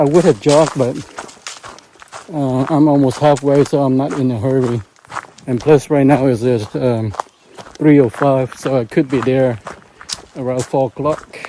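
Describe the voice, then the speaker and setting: A man with a medium-pitched voice speaks at a moderate pace with fairly even intonation and long, frequent pauses, over noticeable background noise. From Vietnam. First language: Vietnamese. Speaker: solo hiker vlogger. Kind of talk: casual vlog narration. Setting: outdoors on a hiking trail. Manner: halting, many fillers.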